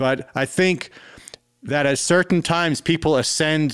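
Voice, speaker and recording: This is a man's voice. He speaks with a South African accent. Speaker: musician. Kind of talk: casual chat. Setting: video call.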